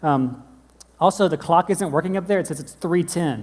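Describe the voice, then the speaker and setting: This is a man talking at a fairly quick pace. His pitch varies in an ordinary way. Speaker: pastor. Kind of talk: sermon. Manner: fast.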